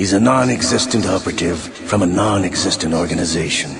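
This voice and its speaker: The speaker uses a put-on character voice at a fairly quick pace with ordinary pitch variation. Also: man, very deep, low pitch for a man. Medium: game stream. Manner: sly, theatrical.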